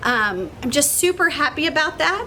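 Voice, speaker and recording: Noticeable background noise sits behind the recording. A woman uses a raised, projected voice at a high pitch. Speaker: teacher. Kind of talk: address to children. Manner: animated.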